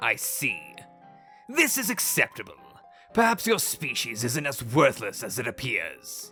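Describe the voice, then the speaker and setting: A woman speaks in a put-on character voice at a moderate pace. She leaves long, frequent pauses, with faint music behind her. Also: fairly low pitch for a woman. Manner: rude, haughty, irritable.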